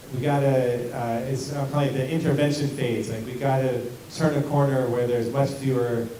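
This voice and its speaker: A man at medium pitch and a fairly quick pace, with audible room echo and noticeable background noise. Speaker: school district administrator. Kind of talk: community meeting Q&A. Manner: loud.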